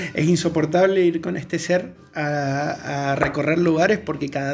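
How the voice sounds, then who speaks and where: A man speaks with a fairly high voice while noticeable background noise carries on. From Argentina, Mendoza. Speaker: veterinarian, podcast co-host. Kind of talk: casual chat.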